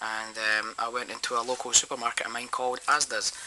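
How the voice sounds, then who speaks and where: Against noticeable background noise, a man at medium pitch talks in a Scottish accent with monotone, flat intonation. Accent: Scottish, obvious. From Scotland. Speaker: toy reviewer. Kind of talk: product review. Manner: hesitant, many ums.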